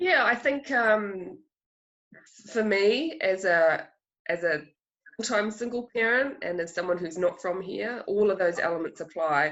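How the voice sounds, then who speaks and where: The speaker has a New Zealand accent and lively intonation. The pace is fairly slow, with long, frequent pauses. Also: woman, medium pitch for a woman. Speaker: filmmaker. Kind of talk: festival Q&A interview. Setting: video call.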